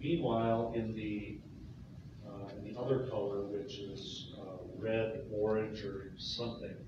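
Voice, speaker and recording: A man speaks at a very slow pace with a monotone, flat intonation. Strong room echo and noticeable background noise fill the recording. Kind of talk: press briefing statement. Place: hall.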